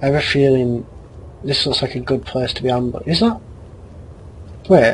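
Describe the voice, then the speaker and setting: Fairly quick speech comes through with noticeable noise in the background. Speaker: gaming let's play host. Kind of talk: let's play commentary. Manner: quiet.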